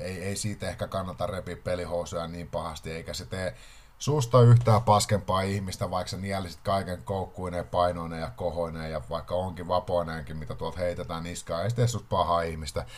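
A man with a very deep, low voice talks at a moderate pace with ordinary pitch variation. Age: 30s. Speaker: podcast host. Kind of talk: casual monologue.

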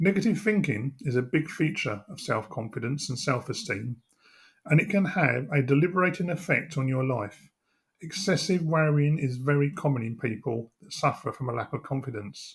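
Somewhat breathy, a man speaks at a moderate pace. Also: fairly high pitch for a man, lively intonation. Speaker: hypnotherapist. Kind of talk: guided hypnosis meditation; guided relaxation script read to listener.

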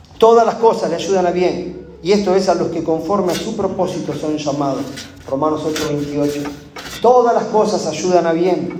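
At a fairly slow pace, a man speaks in a high voice with ordinary pitch variation, amid noticeable background noise and audible room echo. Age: 40s. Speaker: pastor. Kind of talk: sermon. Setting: church.

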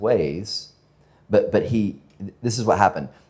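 A man speaks with an American accent. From US South, Georgia (northwest of Atlanta). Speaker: pastor. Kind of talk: sermon. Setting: church with congregation. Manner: halting, many fillers and repetitions.

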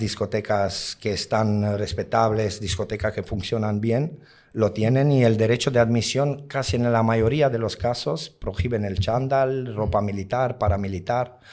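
Recorded very cleanly over a silent background, a man talks at a fairly slow pace. He has ordinary pitch variation and hardly any pauses. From outside Spain. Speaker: nightclub bouncer. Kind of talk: interview. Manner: halting.

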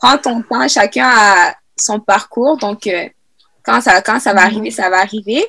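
Her voice is bright and sharp, fairly high for a woman, with vocal fry and lively intonation at a fairly slow pace. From Quebec (Sherbrooke), raised from age 8; born Congo. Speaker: youth podcast host. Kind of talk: casual panel discussion; scripted outro.

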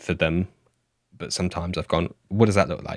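The very clean recording, with a silent background and a dry, close sound with no echo, captures a man with a very deep, low pitch and a southern English accent. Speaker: podcast host. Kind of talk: casual chat.

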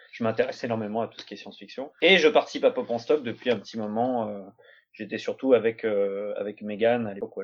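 A man with a normal speaking voice, medium pitch, ordinary pitch variation, big swings in loudness and a fairly quick pace. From France. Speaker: doctoral student. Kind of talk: academic discussion. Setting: video call.

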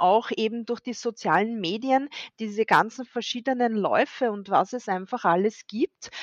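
A woman with a fairly high voice speaks at a very slow pace, her pitch varying in an ordinary way. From Austria, near Vienna. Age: 40s. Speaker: amateur ultrarunner and running coach. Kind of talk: casual chat.

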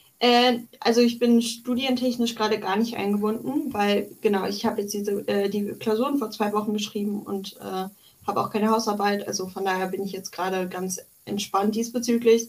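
Talking at a fairly quick pace, a woman has a fairly high pitch and fairly even intonation. She speaks in a plain, everyday voice. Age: 20s. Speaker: psychology student and political activist. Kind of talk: interview.

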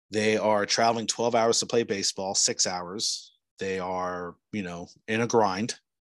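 A plain, everyday voice at a fairly slow pace with fairly even intonation over a quiet background. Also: man, fairly low pitch for a man. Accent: American. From New Jersey. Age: 40s. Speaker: podcast host. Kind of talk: casual interview chat; solo podcast monologue.

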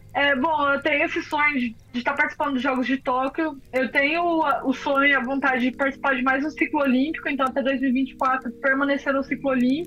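A woman with a high voice speaks fairly quickly in a flat monotone, barely pausing and keeping her loudness very even, over noticeable background noise. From interior of São Paulo state, Brazil (Araras). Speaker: professional triathlete. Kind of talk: interview.

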